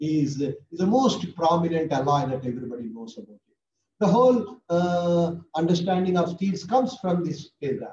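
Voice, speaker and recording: A man with an Indian accent speaks at a moderate pace in a high, dark, mellow voice. His intonation is lively, and there is noticeable background noise. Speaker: professor. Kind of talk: lecture. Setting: video call. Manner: animated. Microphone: webcam.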